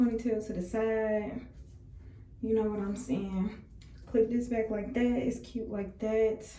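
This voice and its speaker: A woman speaks with a fairly high pitch and monotone, flat intonation at a fairly slow pace. Audible room echo surrounds her voice. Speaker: beauty vlogger. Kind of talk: tutorial. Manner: casual, chatty.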